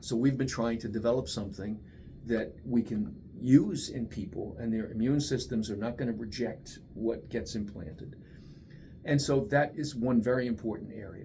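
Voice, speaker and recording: The voice has a dark, mellow tone, somewhat breathy, with ordinary pitch variation. It moves at a moderate pace with audible room echo. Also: man, medium pitch for a man. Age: 70s. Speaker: research scientist. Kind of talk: interview. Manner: conversational, with many fillers.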